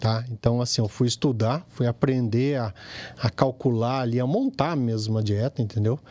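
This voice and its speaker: A man talks at a moderate pace and medium pitch, his tone dark and mellow and his intonation fairly even. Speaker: plastic surgeon. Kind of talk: casual chat.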